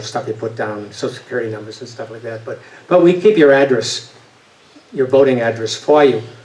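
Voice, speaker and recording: Fairly quick pace in a slight Boston accent, with ordinary pitch variation and noticeable background noise. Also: man. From New England, Boston area. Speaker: voting advocate, retired engineer. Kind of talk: talk with audience Q&A. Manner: hesitant, many fillers and restarts.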